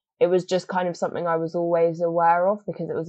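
Speaking in a southern English accent, a woman has a fairly low pitch. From England, Oxford. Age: 20s. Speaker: climate activist and photographer. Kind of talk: casual interview.

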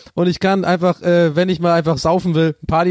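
The sound is dry and close with no echo as a man talks at a very fast pace and high pitch. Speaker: podcast co-host answering listener questions. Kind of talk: casual comedic chat. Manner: slightly lethargic.

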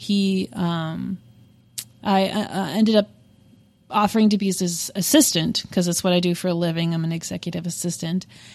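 A plain, everyday voice at a moderate pace. The intonation stays fairly even. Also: woman, fairly low pitch for a woman. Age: 30s. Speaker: podcast co-host. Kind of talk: casual chat.

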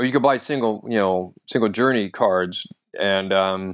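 A man speaks with fairly even intonation in a dry, close sound with no echo. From US, North Idaho. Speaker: comedian. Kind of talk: casual chat.

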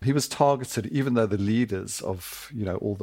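A man with a somewhat breathy voice speaks fairly quickly, his pitch varying in an ordinary way. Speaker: sportswriter. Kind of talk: interview. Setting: studio.

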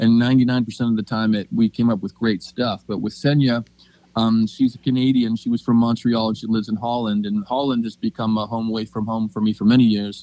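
A man with an American accent has a dark, mellow tone and fairly even intonation. He talks at a fairly quick pace in a dry, close sound with no echo. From Pennsylvania. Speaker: singer-songwriter and producer. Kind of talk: interview. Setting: phone call.

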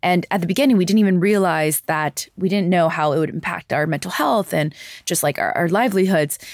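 In a New York accent, a woman talks at a fairly quick pace in a fairly low voice, with ordinary pitch variation and very even loudness, on a very clean recording with a silent background. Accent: American (New York). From US, New York City. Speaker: climate advocate and journalist. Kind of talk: interview conversation. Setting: studio, in person in London.

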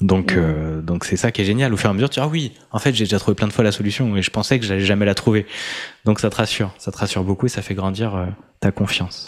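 A man at a fairly low pitch, talking at a very fast pace. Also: ordinary pitch variation. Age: 30s. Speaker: coach and podcaster. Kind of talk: casual chat.

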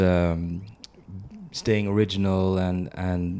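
Very deep, low pitch from a man, with a dark, mellow tone and monotone, flat intonation. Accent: Swedish. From Sweden. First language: Swedish. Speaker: podcast host. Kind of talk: interview.

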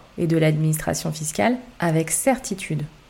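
Somewhat breathy and dark, mellow in tone, a woman speaks at a fairly slow pace with a fairly low pitch. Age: 30s. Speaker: tax and real estate podcaster, former accountant. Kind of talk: scripted narration.

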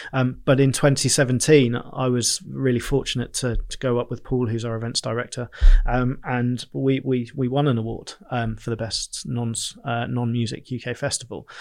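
A man's monotone, flat delivery with hardly any pauses. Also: medium pitch for a man, moderate pace. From southern England, Bournemouth. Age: 30s. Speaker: events company director. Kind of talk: interview conversation.

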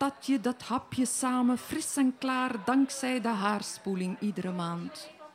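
A woman with a high pitch speaks at a very slow pace with hardly any pauses and ordinary pitch variation, over noticeable background noise. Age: 50s. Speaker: poet and novelist. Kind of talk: interview conversation; reading poetry aloud. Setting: live in a festival foyer.

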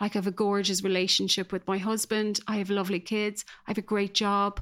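A woman with an Irish accent speaks at a medium pitch in a flat monotone. The recording is very clean, with a silent background. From Ireland, small rural village. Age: 40s. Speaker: guest sharing recovery story. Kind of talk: personal testimony. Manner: hesitant, many fillers.

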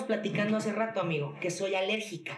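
A woman is talking. She goes at a fairly quick clip. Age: 30s. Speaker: entrepreneur, skincare brand founder. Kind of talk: casual interview.

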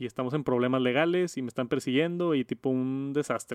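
A man speaks with a normal speaking voice at medium pitch, his intonation fairly even. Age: 30s. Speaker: tech podcast host and youtuber. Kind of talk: casual chat.

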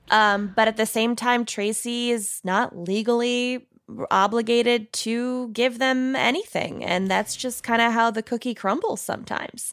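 At a fairly slow pace, a woman with a Minnesotan accent speaks at a fairly high pitch with fairly even intonation. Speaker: true crime podcast co-host, guest. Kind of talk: casual chat.

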